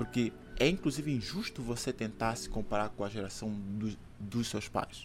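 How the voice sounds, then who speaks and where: A man is talking at a medium pitch. Music is audible behind him. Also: ordinary pitch variation, moderate pace. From Angola. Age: 30s. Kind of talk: casual interview with religious teaching. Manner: hesitant with fillers.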